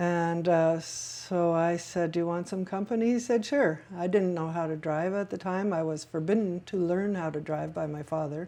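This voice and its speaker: A woman speaks in an unremarkable speaking voice with a fairly low pitch. Her pace is moderate and her pitch varies in an ordinary way. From Quebec, Canada (Montreal). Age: 60s. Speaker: oral history interviewee. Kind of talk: oral history interview.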